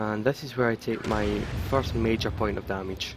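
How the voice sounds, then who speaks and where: Music plays in the background. The voice has ordinary pitch variation. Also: man. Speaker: gaming commentator. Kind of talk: game replay commentary. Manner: slightly stuttering.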